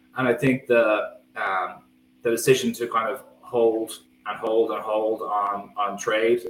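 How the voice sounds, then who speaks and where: A medium-pitched man with a Dublin accent and fairly even intonation. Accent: Dublin Irish. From Ireland, County Dublin. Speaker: football writer. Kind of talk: podcast discussion.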